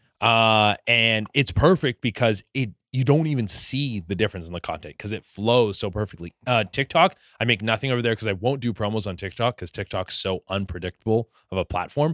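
A man with a slight Canadian accent, fairly quick pace and ordinary pitch variation, on a very clean recording with a silent background and a dry, close sound with no echo. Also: medium pitch for a man. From Canada, Vancouver area. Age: 30s. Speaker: comedian, content creator. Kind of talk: casual chat.

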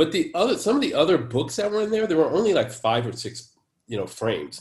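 A man speaks at a fairly quick pace, his pitch swinging very widely. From San Francisco, US. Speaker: poet. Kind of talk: interview conversation.

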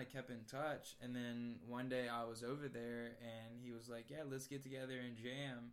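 In an American accent, a man of medium pitch speaks with audible room echo around him. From Virginia, US East Coast. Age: 20s. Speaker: musician. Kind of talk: casual chat.

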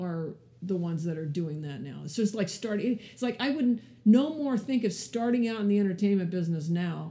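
A woman's somewhat breathy, dark and mellow voice at a medium pitch moves at a moderate pace with lively intonation. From California, French Canadian family. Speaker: film producer. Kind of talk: interview.

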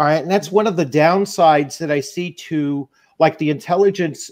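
A fairly high-pitched man with ordinary pitch variation against a quiet background. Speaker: YouTuber, tabletop games. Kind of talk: casual chat. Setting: video call. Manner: halting.

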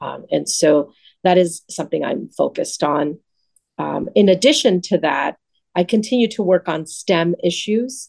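A woman with an American accent speaks at a moderate pace in a fairly low pitch, her intonation lively and her voice showing vocal fry. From Los Angeles, San Fernando Valley (Pacoima). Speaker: state legislator. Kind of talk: radio interview; public remarks at community event.

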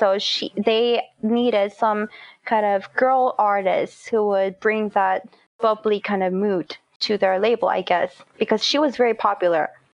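This woman's pitch is fairly high, and her intonation is fairly even. She keeps a fairly slow pace at very even loudness. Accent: Korean. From South Korea. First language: Korean. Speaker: composer and singer-songwriter. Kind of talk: interview.

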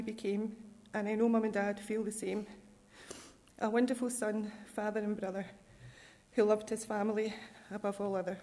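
A woman with a Scottish accent speaks in a fairly high pitch at a fairly quick pace, with monotone, flat intonation and long, frequent pauses. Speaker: bereaved family member. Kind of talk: scripture reading, then an emotional family eulogy. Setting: church. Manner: tender and personal.

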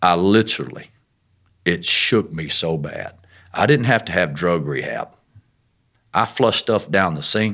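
Long, frequent pauses break up a man's speech. His pitch is very deep and low, with a bright, sharp tone. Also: lively intonation, fairly slow pace. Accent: Arkansas. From Arkansas. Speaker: missionary. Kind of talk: interview testimony.

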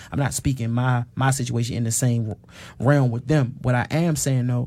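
With an American accent, a man speaks fairly slowly. His tone is dark and mellow, his intonation monotone and flat. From Washington D.C. (Northwest). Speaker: author and activist against mass incarceration. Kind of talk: casual interview conversation.

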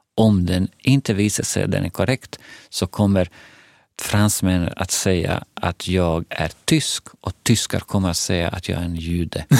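In a Bosnian accent, the speech comes at a fairly slow pace with fairly even intonation, in a dry, close sound with no echo on a very clean recording with a silent background. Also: man, very deep, low pitch for a man. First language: Bosnian (speaking Swedish). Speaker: head of a Roma information centre. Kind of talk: casual conversation. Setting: studio.

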